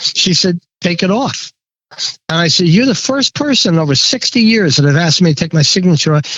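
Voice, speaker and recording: A man talks at a high pitch and a fairly quick pace. His intonation is lively and his loudness very even. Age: 70s. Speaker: pinstriper and sign painter. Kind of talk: casual interview chat. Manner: halting, repeats words.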